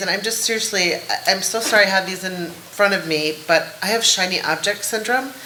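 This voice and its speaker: Noticeable background noise and audible room echo surround the voice. The pace is fairly quick. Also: woman. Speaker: executive, board placement organization founder. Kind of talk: panel discussion. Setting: conference stage with audience. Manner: fast.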